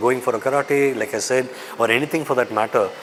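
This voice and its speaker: The voice carries a Tamil accent. Noticeable background noise runs through the clip. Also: man. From raised in Dubai, Tamil family. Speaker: actor. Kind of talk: interview.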